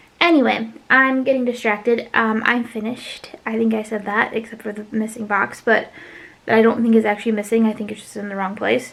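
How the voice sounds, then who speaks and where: Over noticeable background noise, a woman speaks at a fairly quick pace in a fairly high pitch with monotone, flat intonation. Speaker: craft YouTuber. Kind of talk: casual vlog chat. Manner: fast; hesitant, many fillers.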